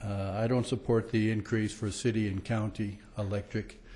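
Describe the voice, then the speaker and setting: Somewhat breathy and dark and mellow in tone, a man's fairly low voice moves at a moderate pace. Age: 60s. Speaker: public commenter at city council meeting. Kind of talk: public comment speech. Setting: council chambers with audience. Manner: hesitant, many fillers.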